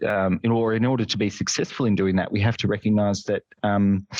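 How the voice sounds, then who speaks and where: Speaking in a fairly low voice, a man with an Australian accent is recorded with a dry, close sound, no echo and a quiet background. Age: 30s. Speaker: nurse and nursing lecturer. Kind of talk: casual chat.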